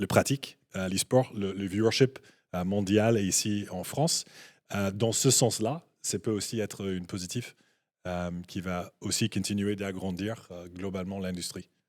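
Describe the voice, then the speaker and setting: In a very clean recording with a silent background and a dry, close sound with no echo, a man speaks at a fairly slow pace in a fairly low pitch. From Canada. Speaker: esports business guest. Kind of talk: panel discussion. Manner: halting, many hesitations.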